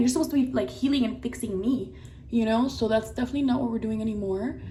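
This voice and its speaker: Someone with an American accent talks at a very fast pace. Room echo is audible. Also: woman. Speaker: lifestyle vlogger. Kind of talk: casual get-ready-with-me vlog. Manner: animated.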